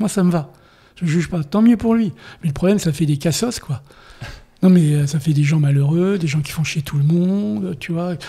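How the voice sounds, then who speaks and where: A man with a fairly high pitch and a dark, mellow tone talks at a fairly quick pace with ordinary pitch variation. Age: 70s. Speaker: war photographer. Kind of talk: interview. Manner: animated.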